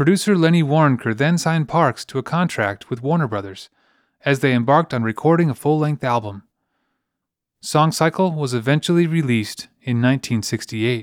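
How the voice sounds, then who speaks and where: A normal speaking voice from a man, fairly high in pitch, with lively intonation at a moderate pace, in a dry, close sound with no echo and a very clean recording against a silent background. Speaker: podcast host. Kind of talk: scripted narration.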